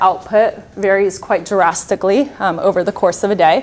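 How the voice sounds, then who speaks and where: A woman with a plain, everyday voice speaks at a medium pitch with fairly even intonation. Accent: American. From Slovakia, raised mainly in Florida, US. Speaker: nuclear industry representative; presenter. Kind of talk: conference presentation. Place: hall.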